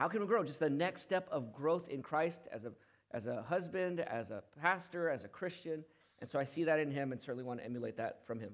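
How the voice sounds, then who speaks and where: A normal speaking voice, a man's fairly high pitch, a fairly quick pace and lively intonation. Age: 40s. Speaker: pastor. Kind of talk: sermon.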